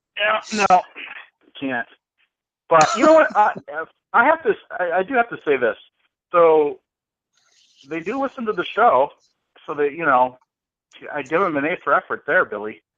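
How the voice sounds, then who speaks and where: In an American accent, the speaker uses a bright, sharp tone, very wide pitch swings, a moderate pace, and long, frequent pauses, with a dry, close sound and no echo. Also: man, high pitch for a man. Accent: northern US, Boston-like. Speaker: radio show co-host. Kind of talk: casual chat.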